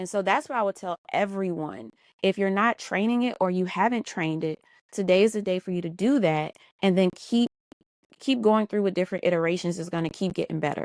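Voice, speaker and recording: Fairly quick female speech, dry and close-sounding with no echo. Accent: American. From US South, New Orleans. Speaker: business and marketing consultant. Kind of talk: podcast interview.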